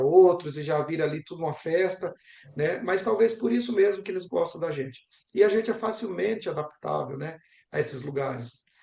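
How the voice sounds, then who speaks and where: A man talks at a fairly quick pace in an ordinary speaking voice. His pitch moves up and down by an ordinary amount. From Brazil. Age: young. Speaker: geography professor. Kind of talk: interview.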